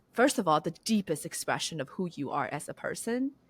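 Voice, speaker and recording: A woman with a Chinese accent speaks at a moderate pace with lively intonation. The sound is dry and close with no echo, on a very clean recording with a silent background. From China. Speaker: business founder and CEO. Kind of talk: podcast interview.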